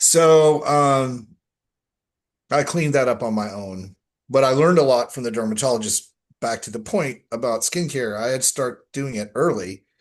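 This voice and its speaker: An unremarkable speaking voice with an American accent, moderate pace and ordinary pitch variation, over a quiet background. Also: man, medium pitch for a man. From Texas. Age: 60s. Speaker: skincare expert and health coach. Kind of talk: interview conversation.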